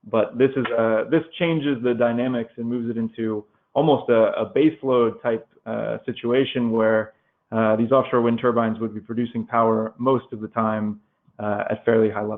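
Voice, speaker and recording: An American man talks at a moderate pace and medium pitch with fairly even intonation. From United States. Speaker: energy analyst. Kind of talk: webinar presentation. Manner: hesitant, many fillers.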